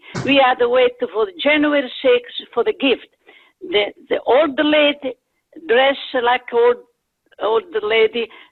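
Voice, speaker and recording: Pausing long and often at a fairly slow pace, a woman with an Italian accent speaks in a high voice with lively intonation and very even loudness. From Italy. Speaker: community member. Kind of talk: casual chat.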